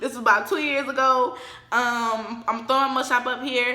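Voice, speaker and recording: A woman's high, raised and projected voice, animated in tone, at a moderate pace, with audible room echo and noticeable background noise. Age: 20s. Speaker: YouTuber. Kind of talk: storytime vlog. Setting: living room at home.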